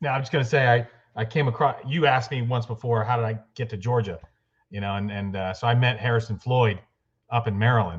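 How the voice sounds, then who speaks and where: Medium-pitched and somewhat breathy, a man talks at a very fast pace. His pitch varies in an ordinary way. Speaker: trial lawyer. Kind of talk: interview.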